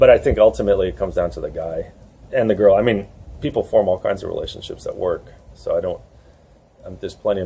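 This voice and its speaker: A man speaks with a New York accent. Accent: American (New York). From USA. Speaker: dating coach and author. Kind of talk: interview. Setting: outdoors in a churchyard.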